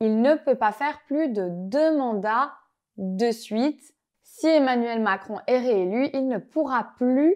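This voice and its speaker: Against a quiet background, the speaker uses lively intonation at a very slow pace. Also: woman. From Belgium. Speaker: French language teacher. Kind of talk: tutorial. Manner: clear, measured pace for learners.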